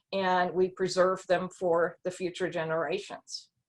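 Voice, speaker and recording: A woman speaks at a moderate pace in a German accent. Her pitch sits in the medium range. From Germany. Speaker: historian. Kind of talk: panel discussion.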